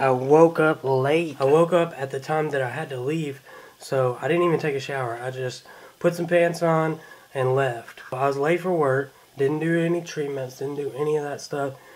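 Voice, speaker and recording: A man speaks at a moderate pace with fairly even intonation and a fairly high pitch. Noticeable background noise sits behind him. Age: 20s. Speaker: vlogger with cystic fibrosis. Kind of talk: casual vlog.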